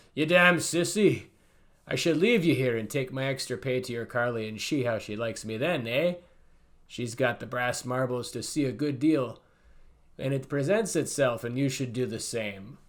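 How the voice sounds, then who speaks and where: A gruff man uses a put-on character voice at a medium pitch. He keeps a moderate pace with ordinary pitch variation. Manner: scornful, bullying.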